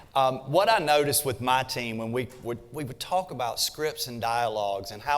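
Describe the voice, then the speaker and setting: A man's medium-pitched voice with a Southern US accent at a moderate pace. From US South, South Carolina. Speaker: real estate agent and trainer. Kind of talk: workshop presentation.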